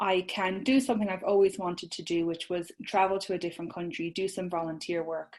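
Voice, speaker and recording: Woman at a medium pitch and fairly quick pace, with ordinary pitch variation. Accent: Irish. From Ireland. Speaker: social media business owner, course creator. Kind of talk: podcast interview.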